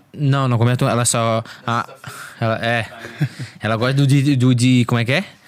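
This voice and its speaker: A man speaks at a medium pitch and a moderate pace, with long, frequent pauses. Music plays in the background. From Florianópolis, Brazil. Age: 20s. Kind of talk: casual chat. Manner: animated.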